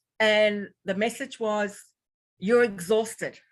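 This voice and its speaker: Speaking slowly-ish in a New Zealand accent, a woman at a medium pitch uses ordinary pitch variation against a quiet background. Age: 60s. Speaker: health practitioner and former intensive care nurse. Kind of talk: interview. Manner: halting.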